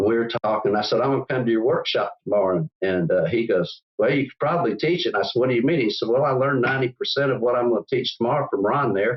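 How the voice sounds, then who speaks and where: Talking very fast with hardly any pauses, a man with a Southern US accent keeps a medium pitch with ordinary variation and very even loudness. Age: 70s. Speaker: business owner. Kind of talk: interview. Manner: halting, many repetitions.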